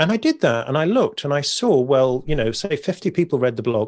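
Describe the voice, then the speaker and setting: A man with a British accent speaks at a fairly high pitch with very wide pitch swings. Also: very clean recording, silent background. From Britain. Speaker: poet and author. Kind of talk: interview conversation. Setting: podcast recording.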